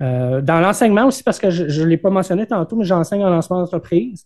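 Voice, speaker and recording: Speaking with a Quebec accent, a man has a high pitch and a dark, mellow tone. His pitch varies in an ordinary way. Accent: Québécois French. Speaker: entrepreneur. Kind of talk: interview. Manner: halting, many fillers and repetitions.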